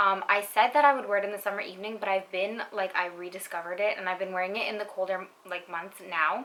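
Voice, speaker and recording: Noticeable background noise surrounds this woman's medium-pitched voice and fairly even intonation. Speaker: beauty YouTuber, perfume reviewer. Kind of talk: casual product review. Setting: at home at night. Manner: quiet.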